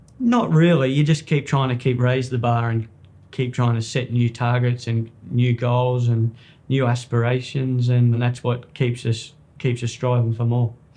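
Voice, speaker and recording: A man with an Australian accent speaks fairly slowly in a dark, mellow tone. His voice is somewhat breathy and his intonation is monotone and flat. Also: medium pitch for a man. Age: 30s. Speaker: jockey. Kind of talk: interview.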